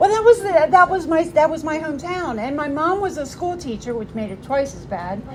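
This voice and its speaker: A woman with an American accent speaks at a high pitch with very wide pitch swings. Her fairly quick pace leaves hardly any pauses, over noticeable background noise. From Maryland Eastern Shore, US. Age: 60s. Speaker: recovering alcoholic speaker. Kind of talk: recovery testimony talk.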